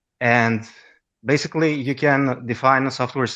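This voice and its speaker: A man with a Greek accent speaks at medium pitch and a fairly slow pace. His intonation is fairly even, and the background is quiet. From Greece. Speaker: caller with a computer science question. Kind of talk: question to the host. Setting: online audio chat room. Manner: hesitant, many fillers.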